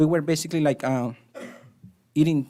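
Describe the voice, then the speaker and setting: In a very clean recording with a silent background, a man with a Spanish accent talks at a moderate pace, his fairly high-pitched voice following fairly even intonation. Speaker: resident speaking at public comment. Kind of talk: public comment at council meeting. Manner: halting.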